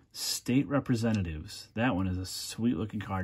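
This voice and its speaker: With ordinary pitch variation, a man's fairly low voice moves at a moderate pace. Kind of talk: casual commentary. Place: home room. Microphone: phone near.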